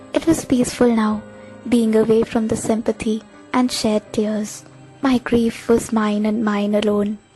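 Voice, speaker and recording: With music in the background, a woman talks at a moderate pace and a high pitch. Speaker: voice-over artist. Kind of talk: short story narration. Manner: emotional, reflective.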